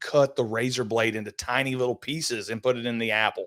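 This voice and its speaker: A man with a plain, everyday voice talks at medium pitch and a moderate pace. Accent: American. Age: 60s. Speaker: podcast host. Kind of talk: casual chat.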